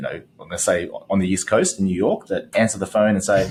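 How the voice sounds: Speaking with an Australian accent, the man keeps a moderate pace.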